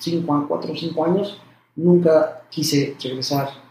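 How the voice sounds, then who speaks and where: A man with a fairly high pitch talks in fairly even intonation, a normal speaking voice. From Mexico (Puebla). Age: 40s. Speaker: cardiologist. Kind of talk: interview conversation. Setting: doctor's office.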